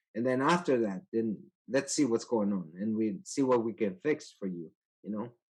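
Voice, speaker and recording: With a Spanish accent, a man speaks at medium pitch and a moderate pace. His intonation is lively. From El Salvador. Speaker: IT manager. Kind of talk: interview. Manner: halting.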